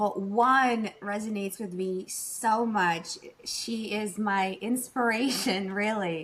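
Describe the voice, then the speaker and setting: A normal speaking voice from a woman, fairly high-pitched, with fairly even intonation. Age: 40s. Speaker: boudoir photographer. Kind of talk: casual chat.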